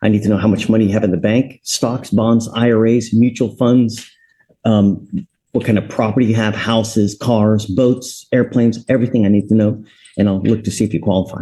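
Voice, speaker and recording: This man has a medium-pitched voice with a dark, mellow tone. He speaks fairly quickly in a flat monotone, keeping his loudness very even. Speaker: judge. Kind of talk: court hearing. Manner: stern.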